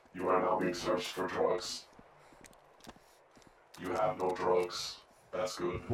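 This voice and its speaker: Putting on a character voice with a very deep, low pitch, a man speaks with long, frequent pauses and a slight echo. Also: fairly slow pace. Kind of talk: game roleplay. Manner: stiff, formal.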